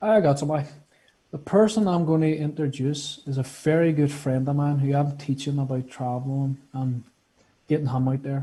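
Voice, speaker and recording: A man with fairly even intonation and a somewhat breathy voice. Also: fairly high pitch for a man, moderate pace. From Northern Ireland. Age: 20s. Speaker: guest, health care student. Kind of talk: casual interview chat.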